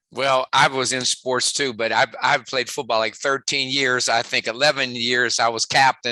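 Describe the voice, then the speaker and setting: A man with a West Virginia accent talks at a moderate pace with hardly any pauses, his medium-pitched voice bright and sharp in tone, his intonation monotone and flat, and the sound dry and close with no echo. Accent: West Virginia twang. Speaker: sports psychologist and motivational speaker. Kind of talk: podcast interview.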